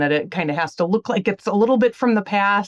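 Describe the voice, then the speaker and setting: A woman with a strong Wisconsin accent and lively intonation, in a dry, close sound with no echo. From Illinois. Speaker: magazine editor. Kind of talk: interview.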